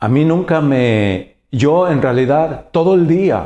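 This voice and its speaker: A man with a dark, mellow tone speaks with very wide pitch swings. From Mexico, Jalisco. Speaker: painter. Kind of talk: interview monologue. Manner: halting, many fillers and repetitions. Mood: warm, reflective storytelling. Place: office.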